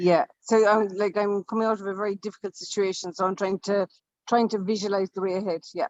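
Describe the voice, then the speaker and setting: In an Irish accent, a woman talks very fast at medium pitch with a flat, monotone delivery. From Ireland. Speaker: writer, coaching client. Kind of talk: casual chat. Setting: video call from a hotel. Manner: quiet; halting.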